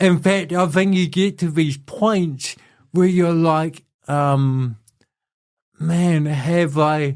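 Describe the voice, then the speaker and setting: A man with a New Zealand accent talks very slowly, taking long, frequent pauses. His fairly high pitch, fairly even intonation and very even loudness come through in a very clean recording with a silent background. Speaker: inspirational speaker. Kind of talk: casual interview conversation.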